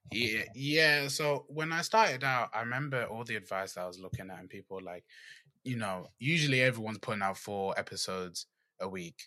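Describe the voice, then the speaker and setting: With a British accent, a man speaks fairly quickly at medium pitch, his tone bright and sharp and his intonation lively, in a very clean recording with a silent background. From England. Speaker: podcast host. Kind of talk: casual interview.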